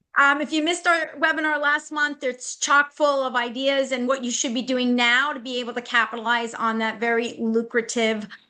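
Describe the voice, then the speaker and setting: Against a quiet background, a woman speaks at a moderate pace in a high, bright, sharp voice with ordinary pitch variation. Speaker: restaurant marketing consultant. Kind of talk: webinar presentation.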